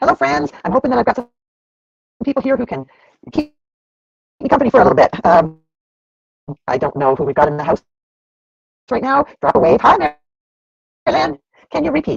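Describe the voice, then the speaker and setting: The speaker moves at a fairly quick pace. Long pauses come often. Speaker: homestead livestream host. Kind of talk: casual live stream chat. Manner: fast.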